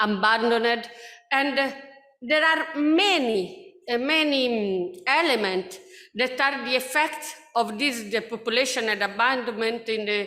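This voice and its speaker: In an Italian accent, a woman speaks at a fairly slow pace with a fairly high pitch, and audible room echo surrounds her voice. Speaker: researcher. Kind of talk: conference presentation. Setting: conference. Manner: halting.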